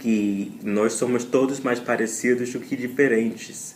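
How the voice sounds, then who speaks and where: Audible room echo surrounds a man speaking at a very slow pace. His medium pitch carries fairly even intonation. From US South, Louisiana. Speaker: language learner. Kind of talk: recorded listener message.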